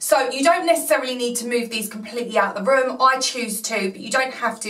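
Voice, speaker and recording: At a fairly quick pace, a woman speaks with ordinary pitch variation while audible room echo surrounds her voice. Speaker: cleaning vlogger. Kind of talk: tutorial. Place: home room.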